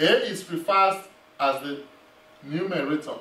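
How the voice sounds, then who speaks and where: A high-pitched male voice amid audible room echo. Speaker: math instructor. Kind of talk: lecture. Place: classroom.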